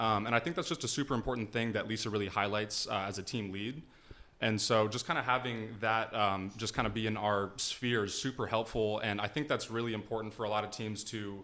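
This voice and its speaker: A man's fairly low, bright, sharp voice at a fairly quick pace, with fairly even intonation, on a very clean recording with a silent background. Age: young. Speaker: business associate, trainee agent. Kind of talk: casual chat. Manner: hesitant, many fillers.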